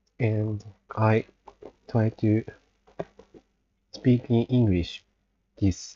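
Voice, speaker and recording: Using a Japanese accent, a man talks at a medium pitch in a monotone, flat delivery. His pace is very slow, with long, frequent pauses. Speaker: livestreamer. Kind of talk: casual monologue. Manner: halting.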